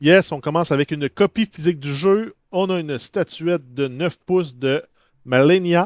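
A man talks with a Quebec accent in a dry, close sound with no echo. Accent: Québécois French. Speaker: podcast co-host. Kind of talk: casual chat.

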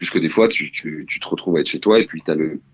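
A man talks with ordinary pitch variation. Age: 20s. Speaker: drama student. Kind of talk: interview.

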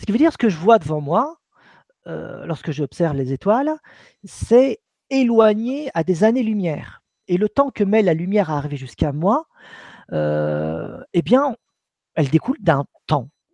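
A man's high, dark, mellow voice, with very wide pitch swings and long, frequent pauses. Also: fairly slow pace, dry, close sound with no echo. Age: 40s. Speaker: author and researcher on consciousness and spirituality. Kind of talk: live-streamed interview.

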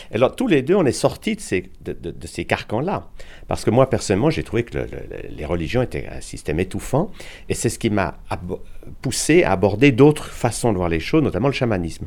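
This man has medium pitch, vocal fry and very wide pitch swings, speaking at a fairly quick pace. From Switzerland, Geneva. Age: 70s. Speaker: physician and alternative medicine author. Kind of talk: interview.

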